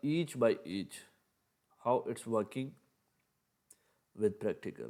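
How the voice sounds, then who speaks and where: Speaking with a non-native accent, a man has a dark, mellow tone, a fairly slow pace, and ordinary pitch variation. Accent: non-native English, by own account. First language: Urdu. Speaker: ethical hacking teacher. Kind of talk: tutorial. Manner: halting.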